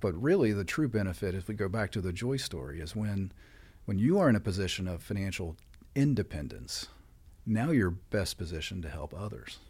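Speaking fairly quickly with an American accent, a man with a fairly low, somewhat breathy voice comes through on a very clean recording with a silent background. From West Virginia. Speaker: credit union CEO. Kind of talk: podcast interview.

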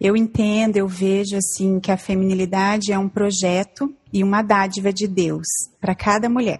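A woman speaks at a moderate pace in a somewhat breathy, medium-pitched voice, her loudness very even and her intonation monotone and flat. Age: 40s. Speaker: church member, mother. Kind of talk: casual chat. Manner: halting.

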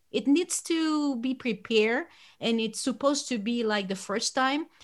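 Talking at a fairly slow pace with a Chilean accent, a woman uses a fairly high voice with very wide pitch swings. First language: Spanish. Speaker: podcast host and tour guide. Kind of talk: podcast interview. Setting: remote call.

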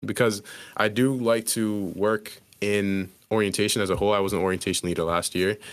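In an unremarkable speaking voice, a man talks at a fairly quick pace with fairly low pitch, fairly even intonation and very even loudness. The recording is very clean, with a silent background. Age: 20s. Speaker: engineering student and photographer. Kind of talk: casual chat.

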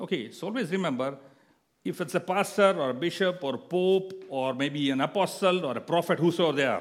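Fairly quick in pace, the speech shows ordinary pitch variation. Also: man, high pitch for a man. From India. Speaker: guest preacher. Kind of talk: sermon. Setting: church. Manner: halting.

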